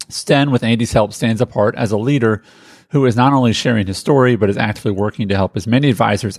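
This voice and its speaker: A man with an ordinary speaking voice, medium in pitch, at a fairly quick pace with ordinary pitch variation, in a dry, close sound with no echo. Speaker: podcast host. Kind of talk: podcast conversation and intro.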